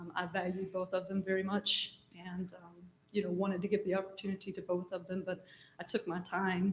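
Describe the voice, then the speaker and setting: At a fairly quick pace, a woman with an American accent speaks in a medium-pitched, somewhat breathy voice with monotone, flat intonation and big swings in loudness. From East Tennessee. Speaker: city manager, job candidate. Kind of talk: job interview. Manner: hesitant with frequent ums.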